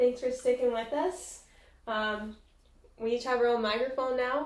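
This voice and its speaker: Soft-spoken and high-pitched, a woman talks at a fairly slow pace. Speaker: podcast co-host. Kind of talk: casual chat.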